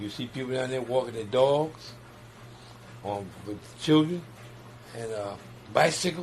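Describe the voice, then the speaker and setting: A man talks at a fairly slow pace and medium pitch, somewhat breathy, with ordinary pitch variation and big swings in loudness. Long, frequent pauses break up his speech, and room echo is audible. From New York. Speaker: community gardener and neighborhood organizer. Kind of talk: interview. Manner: halting, repetitive starts.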